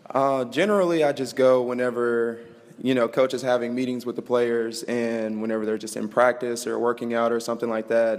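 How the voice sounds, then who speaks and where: A man speaks with an American accent in an ordinary speaking voice. His pitch is medium, his pace fairly quick, and his intonation fairly even. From Mesquite, Texas. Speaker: college football player, interview guest. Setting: live studio audience on campus.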